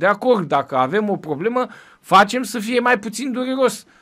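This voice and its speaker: A man is speaking. He keeps a moderate pace. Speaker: Orthodox priest hosting a press review show. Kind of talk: press review commentary. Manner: conversational, with frequent hesitations.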